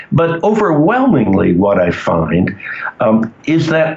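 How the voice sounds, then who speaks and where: A man with an American accent speaks at a fairly high pitch with very wide pitch swings. Noticeable background noise runs underneath. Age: 70s. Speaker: cannabis legalization activist. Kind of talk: interview. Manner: hesitant, many fillers.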